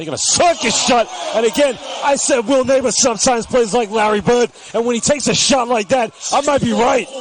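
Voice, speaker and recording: Over noticeable background noise, a man talks at a very fast pace. His voice is extremely high in pitch and animated in tone. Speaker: basketball commentator. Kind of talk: live commentary.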